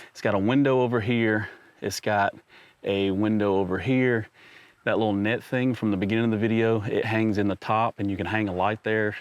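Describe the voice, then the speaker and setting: An enthusiastic tone at a fairly quick pace. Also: man. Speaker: camping YouTuber. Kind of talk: vlog tutorial. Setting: inside truck bed tent. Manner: casual, enthusiastic; loud.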